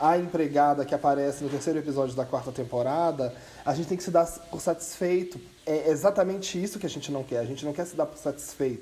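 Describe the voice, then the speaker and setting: The speaker goes at a fairly quick pace with ordinary pitch variation, and noticeable background noise can be heard. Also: man. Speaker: podcast co-host. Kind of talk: casual chat.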